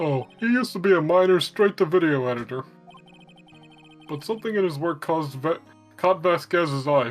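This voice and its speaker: A put-on character voice at a middle pitch moves at a moderate pace over faint music in the background. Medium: stage play. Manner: chatty, friendly.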